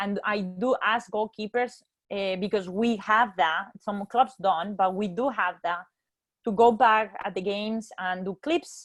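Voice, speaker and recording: A woman with a non-native accent, medium in pitch, fairly slow, with ordinary pitch variation. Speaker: goalkeeper coach. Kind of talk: webinar presentation.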